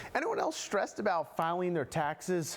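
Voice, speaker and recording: Amid noticeable background noise, a man talks at a fairly quick pace in a fairly high pitch. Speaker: TV news reporter. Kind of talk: TV news feature report.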